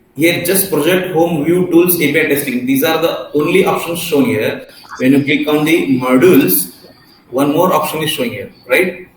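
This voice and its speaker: With a high pitch and ordinary pitch variation, a man talks at a moderate pace, while audible room echo and noticeable background noise surround him. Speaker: software testing trainer. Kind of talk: online class tutorial.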